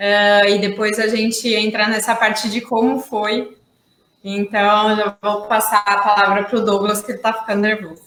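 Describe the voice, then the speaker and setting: This woman has a fairly high pitch and speaks at a moderate pace with a monotone, flat intonation. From São Paulo, Brazil. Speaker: environmental manager. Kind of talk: casual live stream chat.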